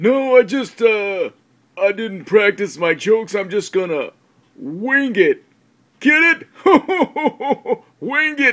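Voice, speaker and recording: A man does a cartoonish character voice at an extremely high pitch. He talks at a very slow pace. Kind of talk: comedy sketch. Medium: puppet.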